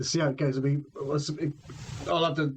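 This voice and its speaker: Talking at a very fast pace in a Somerset accent, a man with a fairly high pitch is heard over noticeable background noise. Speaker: podcast host interviewing a guitarist. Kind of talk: casual chat.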